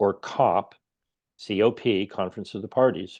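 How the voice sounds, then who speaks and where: A man with an American accent speaks at a moderate pace with lively intonation and a dark, mellow tone. The background is quiet. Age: 60s. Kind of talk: interview. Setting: video call.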